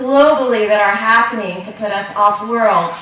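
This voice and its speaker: A loud woman speaks at a fairly slow pace, with audible room echo and noticeable background noise. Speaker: space education entrepreneur. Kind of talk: conference talk. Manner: loud, projecting voice; animated.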